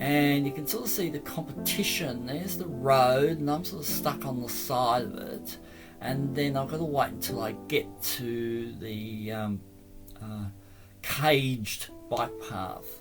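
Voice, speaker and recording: With music in the background, the voice moves at a fairly slow pace with lively intonation. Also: man, medium pitch for a man. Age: old. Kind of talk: casual travel vlog narration. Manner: hesitant, halting.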